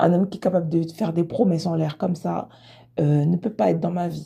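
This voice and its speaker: With vocal fry and a dark, mellow tone, the voice moves at a moderate pace with ordinary pitch variation. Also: woman. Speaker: podcaster reacting to a story. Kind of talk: casual chat. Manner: animated; halting.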